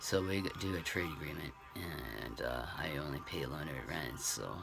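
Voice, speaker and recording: In this clip, a man speaks at a moderate pace with a very deep, low pitch. There is audible room echo and noticeable background noise. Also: ordinary pitch variation. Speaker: vlogger. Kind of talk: casual vlog update. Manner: halting, many fillers.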